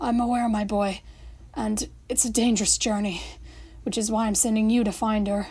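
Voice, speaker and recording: A woman's put-on character voice, croaky and raspy, fairly high in pitch, at a moderate pace with long, frequent pauses. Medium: read story.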